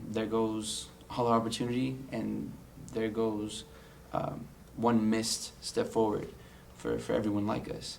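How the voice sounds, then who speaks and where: Against audible room echo, a man with an American accent speaks in a fairly low pitch. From US West Coast, San Diego, California. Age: 20s. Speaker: college student. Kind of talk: personal testimony interview. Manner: frequent fillers and repetitions.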